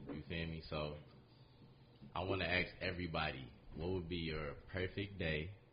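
A man's very deep, low voice with vocal fry and an American accent, fairly even intonation, a moderate pace and long, frequent pauses. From Detroit. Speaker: real estate agent and investor. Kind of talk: casual podcast conversation. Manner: casual, fillers like 'you feel me'.

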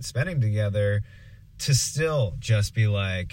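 This man's voice sits fairly low and sounds somewhat breathy. He talks at a very slow pace with lively intonation. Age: 20s. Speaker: improv performer. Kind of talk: casual chat. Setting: recording in a truck.

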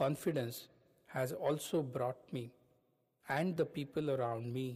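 A somewhat breathy voice at a fairly slow pace, with fairly even intonation. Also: man. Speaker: podcast host, self-help speaker. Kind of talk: scripted narration.

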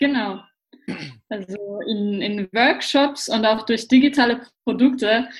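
A woman's plain, everyday voice, fairly high in pitch, with fairly even intonation. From Austria, Vienna. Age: 20s. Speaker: personal development trainer. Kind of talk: casual interview.

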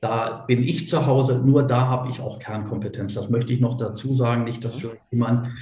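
A man's somewhat breathy, dark, mellow voice at a medium pitch, fairly quick in pace, with audible room echo. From Germany, Göttingen. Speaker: businessman. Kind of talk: interview.

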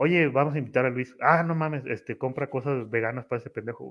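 A man with a normal speaking voice delivers his words fairly quickly, his pitch fairly high and its variation ordinary. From Tamaulipas, Mexico. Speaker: office worker and content creator. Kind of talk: casual chat. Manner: casual, slangy, frequent fillers.

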